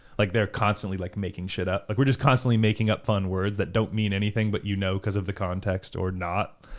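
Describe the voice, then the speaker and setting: Speaking with a Californian accent, a man talks at a very fast pace. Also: fairly low pitch for a man, hardly any pauses. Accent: California. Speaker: volleyball player. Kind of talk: casual chat. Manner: animated.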